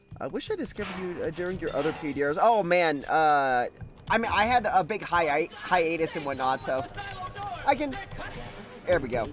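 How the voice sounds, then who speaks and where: Over music in the background, a man with a high pitch speaks in an animated tone with lively intonation at a moderate pace, leaving long, frequent pauses. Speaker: video game streamer. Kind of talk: live gameplay commentary. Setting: live stream.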